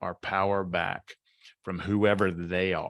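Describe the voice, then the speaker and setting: A man at a fairly slow pace, with a dry, close sound with no echo and a very clean recording against a silent background. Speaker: author and mindset coach. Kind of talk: podcast interview.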